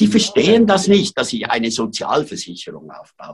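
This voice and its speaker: The man speaks at a high pitch. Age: 70s. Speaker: photographer and aid project founder. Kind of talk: interview. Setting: remote call from sickbed.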